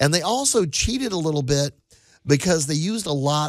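A man has an ordinary speaking voice, fairly high in pitch. His intonation is lively. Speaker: radio host. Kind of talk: casual chat. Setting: studio.

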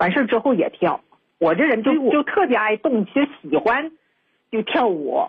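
Speaking at a moderate pace, a woman with a fairly high pitch keeps her loudness very even while her pitch swings very widely. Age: 50s. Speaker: radio call-in listener. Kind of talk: phone-in advice call.

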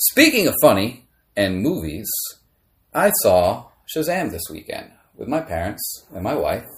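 Pausing long and often, a man with an American accent speaks at a fairly slow pace. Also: big swings in loudness. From Maryland, US. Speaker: podcast host. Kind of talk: casual chat.

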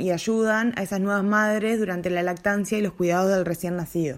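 A woman speaks with a Uruguayan accent. The recording is very clean, with a silent background. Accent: Rioplatense Spanish (Uruguayan). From Uruguay, Montevideo. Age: 30s. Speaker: doula, podcast co-host. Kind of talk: casual chat.

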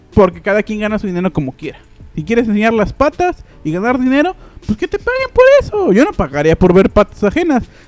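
In a dry, close sound with no echo, a man with a Mexican accent talks at a fairly quick pace, animated and high-pitched, with very wide pitch swings. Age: 20s. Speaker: podcast host. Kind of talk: casual chat.

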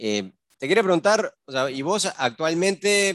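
A man speaking at a fairly slow pace in a bright, sharp tone, on a very clean recording with a silent background. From Uruguay. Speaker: podcast host. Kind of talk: casual interview.

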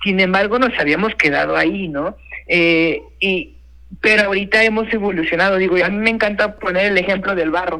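Raised and projected, a man's voice carries a bright, sharp tone at a high pitch. He moves at a fairly quick pace with fairly even intonation. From Mexico, Puebla (San Martín Texmelucan). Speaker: chef. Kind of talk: interview. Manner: halting, many repetitions and fillers.

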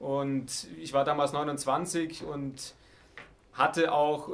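A man's fairly high voice moves with fairly even intonation. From Baden-Württemberg, Heidenheim district (Swabia). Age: 30s. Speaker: politician, state parliament candidate. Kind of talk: interview. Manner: hesitant, with filler sounds.

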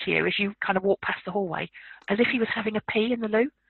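A woman with a southern English accent talks at a fairly high pitch, using ordinary pitch variation. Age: 50s. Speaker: paranormal researcher and author. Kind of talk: interview.

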